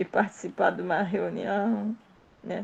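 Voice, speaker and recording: A woman talks at medium pitch and a fairly slow pace, with vocal fry. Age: 70s. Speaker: study group participant. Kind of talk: group study discussion. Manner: halting.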